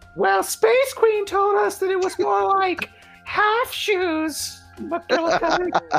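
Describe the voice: An extremely high-pitched, put-on character voice speaks at a very slow pace over faint background music.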